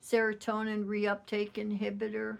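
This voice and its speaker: Here a woman speaks at a very slow pace. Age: 60s. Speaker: Navy veteran sharing mental health experience. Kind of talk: personal testimony monologue. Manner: halting, many fillers.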